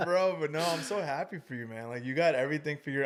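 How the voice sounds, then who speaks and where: On a very clean recording with a silent background, a man speaks at a very fast pace and a fairly high pitch. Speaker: podcast guest and podcaster. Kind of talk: casual chat. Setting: podcast studio. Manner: loud.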